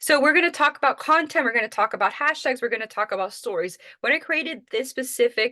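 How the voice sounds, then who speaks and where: A loud woman with a Miami accent, bright and sharp in tone, with very wide pitch swings and a dry, close sound with no echo. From Miami, Florida. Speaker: social media marketing trainer. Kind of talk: webinar presentation.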